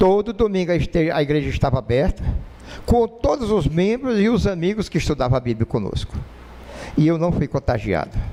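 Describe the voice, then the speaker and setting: His pitch is high. The man's intonation stays lively throughout. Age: 60s. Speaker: lay preacher. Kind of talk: sermon. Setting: church.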